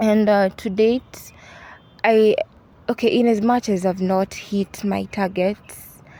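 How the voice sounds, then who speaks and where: A woman speaks with a Kenyan accent. Her pace is fairly slow. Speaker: university student. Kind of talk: interview. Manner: halting.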